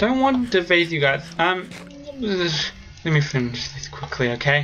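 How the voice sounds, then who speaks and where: The intonation is lively and the pace fairly slow. Noticeable background noise sits behind the voice. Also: woman. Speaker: gaming youtuber. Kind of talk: gameplay commentary. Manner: animated.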